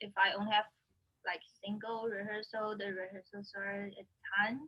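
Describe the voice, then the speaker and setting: A woman's medium-pitched voice in a Chinese accent, bright and sharp in tone, with monotone, flat intonation at a moderate pace. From China (Anhui and Shanghai). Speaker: orchestral violinist. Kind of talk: interview answer.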